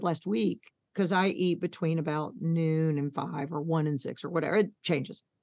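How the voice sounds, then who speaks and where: A woman talks fairly quickly in an American accent. Her pitch is fairly low and her tone animated. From New York. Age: 60s. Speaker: thyroid patient advocate. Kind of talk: casual interview chat.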